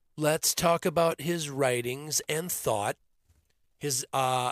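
An unremarkable speaking voice from a man with an American accent, fairly slow pace, dry, close sound with no echo, and a very clean recording with a silent background. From US Midwest, Minnesota. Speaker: podcast host. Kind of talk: political podcast monologue.

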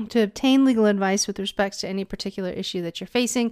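On a very clean recording with a silent background, a woman with a fairly high voice speaks at a very fast pace. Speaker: podcast host. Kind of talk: casual interview chat. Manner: warm, enthusiastic.

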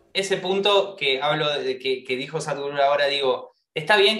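The pace here is moderate. The speaker is a man with an Argentine accent. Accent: Rioplatense Argentine Spanish. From Argentina. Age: 20s. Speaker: actor and singer. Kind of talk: interview conversation. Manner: halting, many repeated words.

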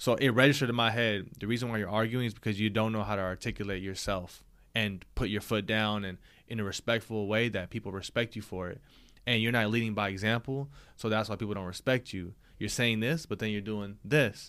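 A man speaks in a plain, everyday voice, fairly low in pitch with fairly even intonation. His pace is fairly quick, and the very clean recording has a silent background. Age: 20s. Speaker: podcast co-host. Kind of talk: casual chat.

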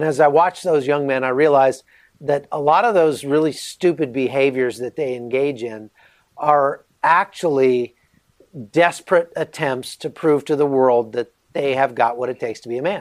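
This man has a plain, everyday voice with a fairly high pitch. He talks at a moderate pace with ordinary pitch variation. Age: 40s. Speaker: author and journalist, former soldier. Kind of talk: interview.

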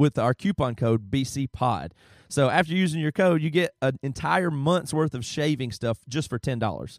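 The man's voice is fairly high in pitch, recorded with a dry, close sound and no echo. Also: very clean recording, silent background. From US South. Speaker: podcast host. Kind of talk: casual chat.

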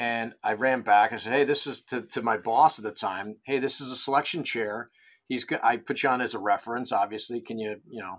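A man's ordinary speaking voice at medium pitch, with ordinary pitch variation, big swings in loudness, and a fairly quick pace, in a very clean recording with a silent background. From Rochester, New York. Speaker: golf club head pro. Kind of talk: interview.

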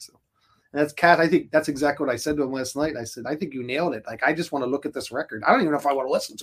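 A man talks at a very fast pace and fairly high pitch, his intonation fairly even but his loudness swinging widely. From Philadelphia, US. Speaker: rock band musician. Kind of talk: casual interview chat. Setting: recording studio.

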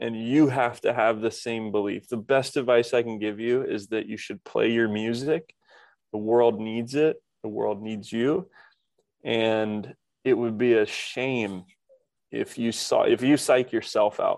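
A man with an American accent, a normal speaking voice, and medium pitch. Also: fairly even intonation. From Indiana, US Midwest. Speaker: tech entrepreneur and Air Force veteran. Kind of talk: podcast interview.

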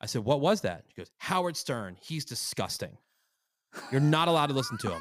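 A man speaks at a fairly quick pace on a very clean recording, the background entirely silent. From US, central New Jersey. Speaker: morning radio host. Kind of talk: casual interview chat.

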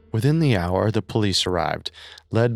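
A man talks with a fairly low pitch and vocal fry. The recording is very clean with a silent background apart from faint music.

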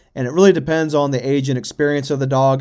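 In a normal speaking voice, a man talks at a fairly quick pace and a fairly high pitch with fairly even intonation, on a very clean recording with a silent background. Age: 30s. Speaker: coonhound hunting podcaster. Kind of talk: casual solo podcast talk.

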